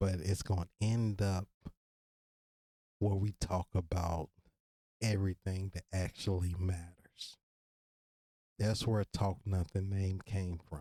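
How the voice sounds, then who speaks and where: A man's very deep, low voice with a slight Virginia accent, very slow and monotone with flat intonation, a dark, mellow and relaxed tone, long, frequent pauses, and a dry, close sound with no echo on a very clean recording with a silent background. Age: 30s. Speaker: podcast host. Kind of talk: casual monologue. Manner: relaxed, conversational.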